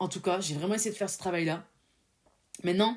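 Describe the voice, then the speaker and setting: In an animated tone, a woman talks at a medium pitch. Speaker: podcast host. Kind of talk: solo motivational podcast monologue.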